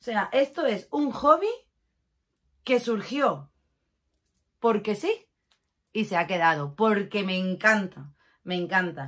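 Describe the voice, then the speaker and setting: Against a quiet background, a woman speaks at a fairly slow pace in an animated tone, her pitch swinging very widely. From Catalonia, Spain (Barcelona), moved to Málaga at 11. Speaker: lifestyle YouTuber. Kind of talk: casual vlog talk to camera. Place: home room. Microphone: phone near.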